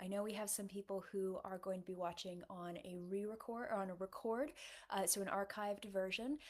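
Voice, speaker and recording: A woman with an American accent talks at a fairly quick pace. Her pitch is medium, with ordinary variation. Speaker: novelist. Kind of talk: livestream Q&A. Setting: livestream. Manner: casual, many fillers (um, uh).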